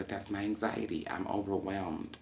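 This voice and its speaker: A man speaks at a moderate pace. His tone is calm. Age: 20s. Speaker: vlogger talking about mental health. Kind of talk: personal monologue vlog. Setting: at home.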